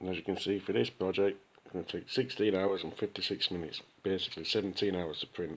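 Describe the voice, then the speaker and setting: A man with a Sheffield accent talks at a very fast pace. His pitch is very deep and low, with fairly even intonation. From Sheffield, UK. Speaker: 3D printing hobbyist. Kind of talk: casual talk behind the camera, software walkthrough. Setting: phone recording.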